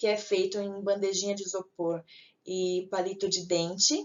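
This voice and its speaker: A woman speaks in an ordinary speaking voice. Her pitch is medium and her pace moderate. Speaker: teacher. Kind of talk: lecture.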